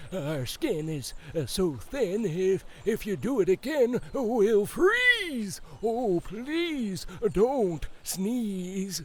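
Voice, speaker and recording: Over clear background noise, a put-on character voice with a fairly high pitch moves at a very slow pace. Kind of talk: children's picture book read-aloud. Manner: hesitant.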